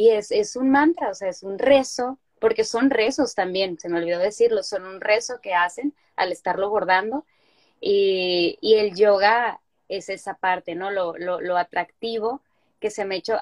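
In a plain, everyday voice, a woman speaks at a fairly slow pace and a medium pitch with ordinary pitch variation, the sound dry and close with no echo. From Sinaloa, Mexico (Culiacán). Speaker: yoga teacher and weaver. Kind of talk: interview.

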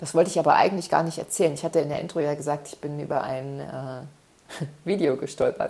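A woman speaks very fast in a very deep, low voice with a warm, dark, mellow tone, fairly even intonation and big swings in loudness. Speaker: self-development podcaster. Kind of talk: solo podcast monologue. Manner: warm, frequent filler sounds.

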